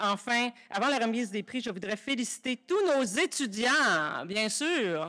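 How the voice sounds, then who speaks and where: A woman's fairly high-pitched voice at a fairly slow pace, a plain, everyday voice. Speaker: university vice-rector. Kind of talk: formal speech. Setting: stage with audience. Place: hall. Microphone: podium.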